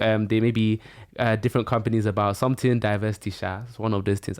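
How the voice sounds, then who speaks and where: On a very clean recording with a silent background, a man speaks at a fairly quick pace. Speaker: podcast host. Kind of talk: casual interview chat. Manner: fast.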